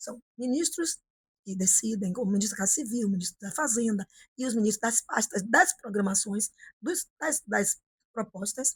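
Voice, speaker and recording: A woman's fairly high, somewhat breathy voice with lively intonation at a moderate pace, dry and close with no echo. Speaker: politician. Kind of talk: interview. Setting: office.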